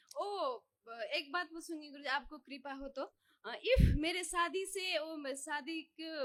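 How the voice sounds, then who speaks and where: A woman with a non-native accent uses a raised, projected voice with a bright, sharp tone. Her pitch varies in an ordinary way. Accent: non-native Hindi. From Nepal. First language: Nepali (speaking Hindi). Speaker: devotee. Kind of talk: testimony. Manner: halting.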